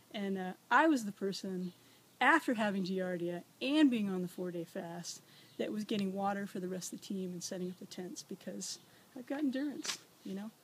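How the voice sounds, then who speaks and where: With a somewhat breathy, medium-pitched voice, a woman talks at a fairly quick pace with lively intonation. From US South. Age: 40s. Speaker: nurse and former wildland firefighter. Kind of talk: audition interview. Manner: energetic.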